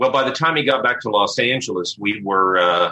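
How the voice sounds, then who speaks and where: Fairly low in pitch with ordinary variation, a man speaks in a normal speaking voice at a fairly quick pace. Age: 40s. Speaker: film historian. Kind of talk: interview.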